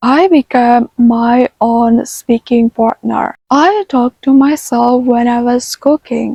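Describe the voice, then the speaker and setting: A woman with a non-native accent talks at a very slow pace in a high pitch, her tone gentle, dark and mellow, with a dry, close sound that has no echo. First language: not English. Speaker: self-taught English learner. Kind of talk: casual talk to camera. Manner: gentle, soft-spoken.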